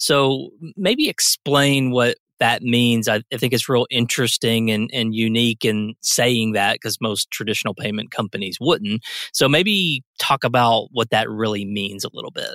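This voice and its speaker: On a very clean recording with a silent background and a dry, close sound with no echo, a man uses a plain, everyday voice at medium pitch, with ordinary pitch variation, a moderate pace and hardly any pauses. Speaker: podcast host. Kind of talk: interview.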